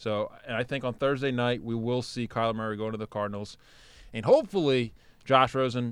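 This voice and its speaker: Speech at a moderate pace with fairly even intonation, in a normal speaking voice. The background is quiet. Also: man. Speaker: sports podcast co-host. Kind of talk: casual sports banter. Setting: studio. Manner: bantering, sarcastic.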